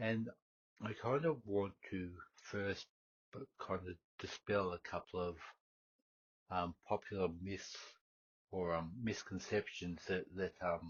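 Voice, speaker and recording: A man's very deep, low, somewhat breathy voice at a very slow pace, with long, frequent pauses. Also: ordinary pitch variation. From Australia. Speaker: history podcast host. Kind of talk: unscripted solo podcast talk. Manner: halting, many fillers and repetitions.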